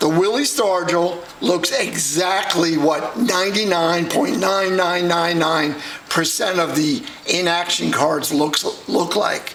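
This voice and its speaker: Talking at a very slow pace with very even loudness, a man with an American accent has a high pitch and ordinary pitch variation, with audible room echo. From New York. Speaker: card collector. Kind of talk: casual pack-break vlog.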